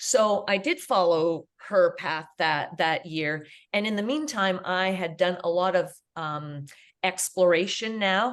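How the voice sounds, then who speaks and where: A woman with a Canadian accent uses a normal speaking voice at medium pitch. She talks at a fairly slow pace with lively intonation against a quiet background. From Canada. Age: 60s. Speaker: international school teacher. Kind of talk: interview conversation.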